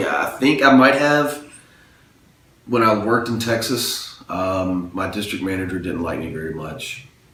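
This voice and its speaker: A man with a Southern US accent at a medium pitch and moderate pace, lively in intonation, with big swings in loudness, audible room echo and noticeable background noise. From US South, Mobile, Alabama. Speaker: interviewee. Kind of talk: interview answers.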